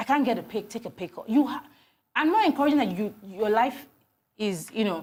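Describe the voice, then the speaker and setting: On a very clean recording with a silent background, a woman speaks at a fairly quick pace in a fairly high, somewhat breathy voice with lively intonation and an animated tone. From Nigeria. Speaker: HR consultant. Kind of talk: TV interview.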